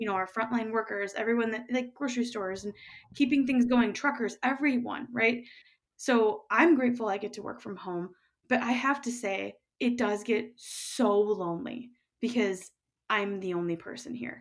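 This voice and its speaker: Speaking in a plain, everyday voice with an American accent, a woman talks at a fairly high pitch and a moderate pace, with ordinary pitch variation and big swings in loudness, in a very clean recording with a silent background. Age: 30s. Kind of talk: casual interview.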